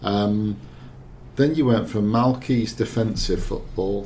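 There is noticeable background noise. A man does the talking. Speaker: football journalist. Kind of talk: casual football discussion. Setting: studio.

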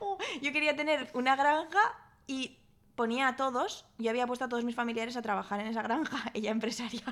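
Loud and fairly quick, a woman speaks at a high pitch with ordinary pitch variation. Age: 30s. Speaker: guest. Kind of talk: casual chat.

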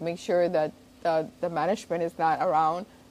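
With a Spanish accent, a woman talks at a fairly low pitch. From Spain, after early years in Cuba. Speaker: zoo director. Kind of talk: interview. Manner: halting, repetitive.

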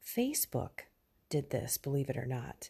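A quiet, somewhat breathy woman's voice with a dark, mellow tone at a fairly slow pace. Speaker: faith podcaster. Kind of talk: devotional reflection. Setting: at home, early morning.

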